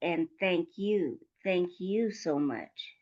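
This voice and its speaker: At a very slow pace, a woman with an American accent speaks at a medium pitch in a dark, mellow tone. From US, Denver, Colorado. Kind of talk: casual interview chat. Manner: animated.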